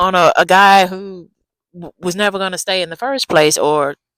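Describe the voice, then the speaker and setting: Soft-spoken, this speaker takes things at a fairly slow pace. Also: woman. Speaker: dating advice vlogger. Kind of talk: casual advice vlog. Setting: outdoors in backyard. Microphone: new small clip-on mic.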